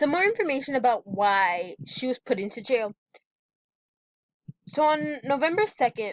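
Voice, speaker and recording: The sound is dry and close with no echo as a woman speaks at a moderate pace, leaving long, frequent pauses. Her high voice swings very widely in pitch. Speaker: student. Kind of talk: class presentation. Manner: stuttering; halting.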